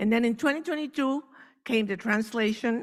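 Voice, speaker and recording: A woman with a Spanish accent and ordinary pitch variation, on a very clean recording with a silent background. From Venezuela. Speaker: author and Holocaust family speaker. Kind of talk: speech.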